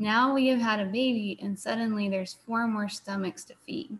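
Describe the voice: At a moderate pace, a woman speaks at a medium pitch with fairly even intonation.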